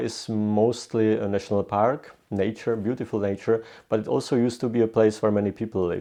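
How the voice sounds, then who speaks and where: A moderate pace and fairly even intonation in a Czech accent. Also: man. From Czech Republic, southern Bohemia. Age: 20s. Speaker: historian. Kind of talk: interview. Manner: halting, many fillers and restarts.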